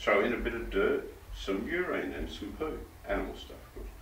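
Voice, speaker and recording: A man speaks in an Australian accent against noticeable background noise. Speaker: bush poet. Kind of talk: poetry reading. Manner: humorous.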